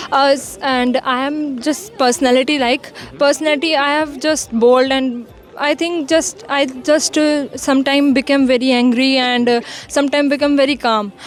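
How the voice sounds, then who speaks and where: With music in the background, a woman speaks at a high pitch, moderate pace and fairly even intonation. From Haryana, India. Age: young. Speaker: university student. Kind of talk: interview answer.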